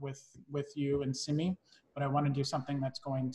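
A somewhat breathy man speaks against a quiet background. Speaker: wine tasting instructor. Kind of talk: online class introduction. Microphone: video call.

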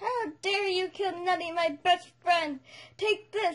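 A put-on character voice pitched extremely high. It moves at a fairly slow pace. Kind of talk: comic overacting. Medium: comedy sketch. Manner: shouty, bragging, whiny.

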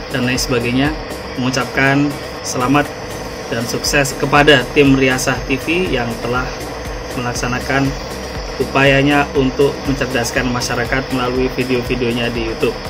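With music playing in the background, a man talks at a moderate pace. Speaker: content creator. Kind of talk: congratulatory video message. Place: home room. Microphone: phone near.

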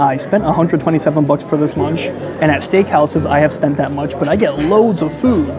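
With music playing in the background, a man speaks at a moderate pace using ordinary pitch variation. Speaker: food reviewer. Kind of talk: casual vlog chat. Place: cafe. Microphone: phone near.

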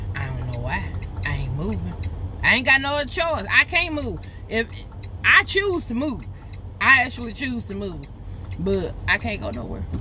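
Woman at a moderate pace with long, frequent pauses and big swings in loudness, dry sound with no echo, and light background noise. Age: 40s. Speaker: truck driver vlogger. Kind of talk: casual vlog monologue. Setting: in a broken-down truck at a fuel stop. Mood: frustrated but determined. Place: car. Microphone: phone near.

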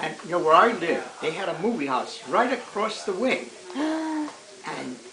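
Very wide pitch swings at a fairly slow pace, over noticeable background noise. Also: man, high pitch for a man. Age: 80s+. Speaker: grandfather telling stories. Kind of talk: storytelling, recounting childhood memories. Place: home room. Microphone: camera far.

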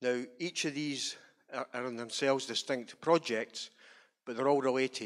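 Fairly slow speech from a man with a Scottish accent, medium pitch and ordinary pitch variation, against a quiet background. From Scotland. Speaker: trade union rep. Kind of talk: introductory remarks. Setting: stage with audience. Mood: calm, commemorative. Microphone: handheld.

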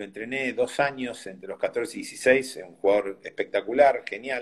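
Over a quiet background, a man with an unremarkable speaking voice talks at a moderate pace and medium pitch. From Argentina. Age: 60s. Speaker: tennis coach; tennis coach, interview guest. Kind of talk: interview. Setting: video call. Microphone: phone near.

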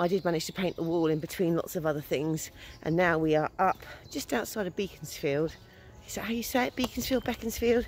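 Recorded with dry sound, no echo, and light background noise, a woman speaks at a fairly quick pace with a fairly low pitch and ordinary pitch variation. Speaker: vlogger. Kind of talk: casual vlog chat. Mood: cheerful, chatty. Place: forest. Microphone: phone near.

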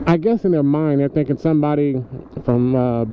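A man speaks at a fairly quick pace over light background noise. The sound is dry with no echo. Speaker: motovlogger. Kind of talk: casual vlog chat. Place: motorbike. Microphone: helmet.

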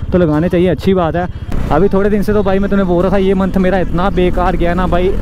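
Against noticeable background noise, a man speaks fairly quickly at a high pitch, with monotone, flat intonation, very even loudness and a dry sound with no echo. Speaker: motovlogger. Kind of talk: casual vlog chat. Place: motorbike.

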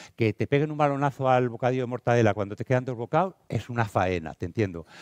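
Speaking fairly quickly in an animated tone, a man is heard with a dry sound, no echo and a quiet background. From Spain, Castile and León (Valladolid). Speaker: teacher and educational speaker; teacher, speaker. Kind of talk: conference talk. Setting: stage with audience. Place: hall. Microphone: headset.

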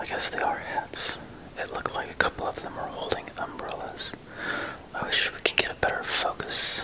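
A whisper kept to a moderate pace. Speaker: ASMR creator. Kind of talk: ASMR slide viewing commentary. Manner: whispered.

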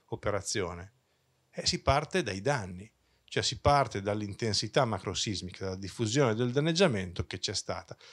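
Against a quiet background, a man talks at a moderate pace with a fairly low pitch and lively intonation. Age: 50s. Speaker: engineering professor; engineering professor presenter. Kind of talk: conference talk. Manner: hesitant, with many fillers. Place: hall. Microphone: handheld.

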